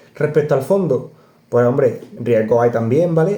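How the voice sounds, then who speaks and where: A man with an Andalusian accent, fairly high in pitch with ordinary pitch variation, somewhat breathy, with a dark, mellow tone. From Córdoba, Andalusia, Spain. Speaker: personal finance youtuber. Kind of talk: casual explainer video. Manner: animated, conversational.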